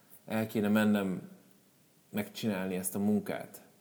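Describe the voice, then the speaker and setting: In a room with audible echo, a man speaks at a fairly slow pace and a fairly low pitch. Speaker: motivational speaker. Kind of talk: live talk to audience. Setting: stage with audience. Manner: spontaneous, unscripted.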